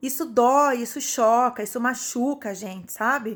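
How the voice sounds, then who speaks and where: Her voice is high-pitched, and the woman keeps a moderate pace. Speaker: psychologist vlogger. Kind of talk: video monologue.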